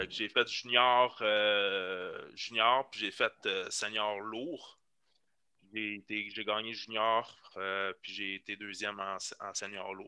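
Speaking at a very slow pace, a man with a fairly low pitch uses a bright, sharp tone and monotone, flat intonation, with big swings in loudness. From Quebec, Laurentides. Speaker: fitness coach and bodybuilder. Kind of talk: casual chat. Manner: halting.

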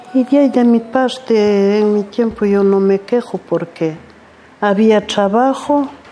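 A woman's fairly high voice at a very slow pace, ordinary pitch variation, noticeable background noise behind her. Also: very even loudness. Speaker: farm worker. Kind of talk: life story testimony.

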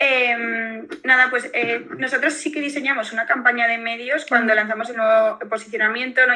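Here is a woman with an ordinary speaking voice and a fairly high pitch. She talks at a moderate pace. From Valencia region, Spain. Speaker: beverage brand founder. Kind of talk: interview.

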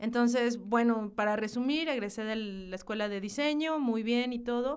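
The speaking pace is moderate. Pitch varies in an ordinary way. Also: woman. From northern Mexico, Hidalgo del Parral, Chihuahua. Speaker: graphic designer and marketing professional. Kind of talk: casual interview chat.

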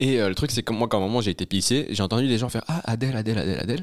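A very clean, silent-background recording of speech at a very fast pace. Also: man. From Brussels, Belgium. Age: young. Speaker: stand-up comedian. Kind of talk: casual chat.

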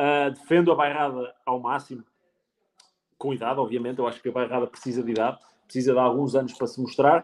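At a very fast pace, a man talks in a monotone, flat intonation at medium pitch. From Portugal, Penacova (Coimbra district). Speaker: sommelier. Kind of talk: casual interview. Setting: live stream.

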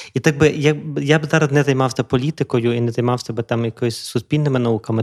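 A man with an unremarkable speaking voice talks at a fairly quick pace. His intonation is fairly even, and the sound is dry and close with no echo. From western Ukraine, Lviv region (Drohobych). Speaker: psychotherapist, podcast host. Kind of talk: casual chat. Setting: studio.

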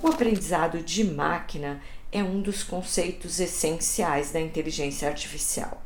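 Amid audible room echo and noticeable background noise, a woman with a fairly low pitch talks at a fairly slow pace with fairly even intonation. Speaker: journalist and podcast host. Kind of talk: scripted narration.

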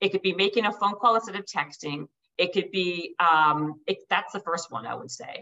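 Using a plain, everyday voice, a woman talks at a medium pitch and moderate pace with lively intonation and big swings in loudness. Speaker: author and speaker; entrepreneur and podcaster. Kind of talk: podcast interview.

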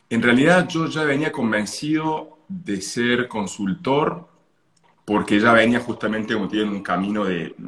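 A man is speaking. His pace is fairly slow. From Italy and Argentina, moved often. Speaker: holistic therapy consultant. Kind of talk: casual interview.

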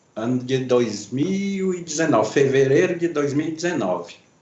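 A man is speaking. Room echo is audible. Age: 60s. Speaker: pipe maker and artisan. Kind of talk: casual interview.

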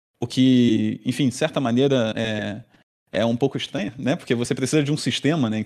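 Very clean recording with a silent background: a man at medium pitch, fairly quick pace and ordinary pitch variation. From Brazil, Rio de Janeiro. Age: 30s. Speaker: engineering professor. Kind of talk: podcast interview. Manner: hesitant, many fillers.

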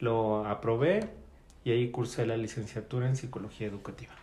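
Speaking at a moderate pace in a Mexican accent, a man with medium pitch has a dark, mellow tone and a somewhat breathy quality, with audible room echo. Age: 40s. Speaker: job applicant, special education worker. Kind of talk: job interview. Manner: hesitant.

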